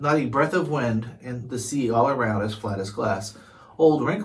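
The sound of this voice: What you hear is an unforced reading voice.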